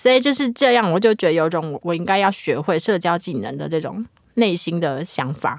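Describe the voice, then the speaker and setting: Her tone animated, a woman with a fairly low pitch speaks at a moderate pace through very wide pitch swings. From Taiwan, Hakka family. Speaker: guest co-host and university lecturer. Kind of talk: casual chat. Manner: animated, frequent laughter.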